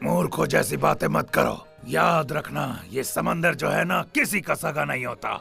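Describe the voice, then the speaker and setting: With clear music in the background, a man performs a cartoonish character voice at a moderate pace and a fairly low pitch. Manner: gruff, commanding.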